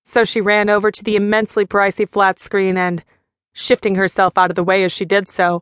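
A woman's medium-pitched voice, dramatic in tone yet monotone and flat in intonation, at a moderate pace, dry and close with no echo against a quiet background. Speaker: audiobook narrator. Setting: studio. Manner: smooth, measured pacing with short dramatic pauses on fragments such as 'Only you.'.

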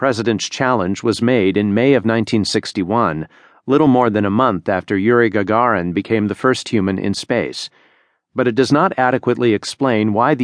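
A man with an unremarkable speaking voice talks at a moderate pace and medium pitch, with ordinary pitch variation, in a dry, close sound with no echo. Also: quiet background. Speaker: audiobook narrator. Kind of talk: scripted narration reading a magazine essay aloud. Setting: studio. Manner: formal, measured, steady and authoritative.

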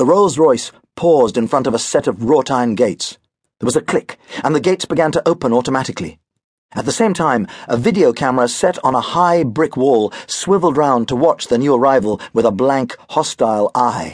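An animated tone and lively intonation in a British accent, with a dry, close sound and no echo. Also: man, medium pitch for a man. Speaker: audiobook narrator. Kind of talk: dramatic audiobook narration of a children's story. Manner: animated, expressive storyteller voicing characters.

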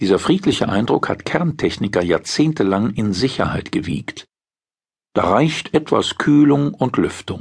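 With pitch that leaps very widely, a man talks fairly slowly. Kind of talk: scripted newspaper article read aloud. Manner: formal, measured, sober; clear, steady narration.

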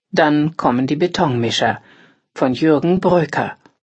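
The woman talks at a very slow pace. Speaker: audiobook narrator. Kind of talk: scripted newsreading of magazine articles. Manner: formal.

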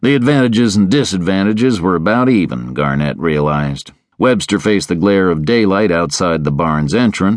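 Natural-voiced reading aloud full of lively intonation

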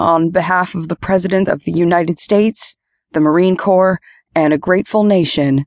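A female-sounding, put-on character voice, fairly low in pitch, comes across as strained and shaky at a moderate pace against a quiet background. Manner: solemn.

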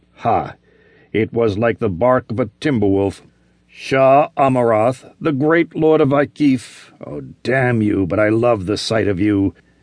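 With an unremarkable speaking voice, a man speaks at a fairly slow pace and medium pitch, his intonation lively and the sound dry and close with no echo. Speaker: audiobook narrator. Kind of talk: dramatic audiobook narration of a fantasy adventure, with character voices.

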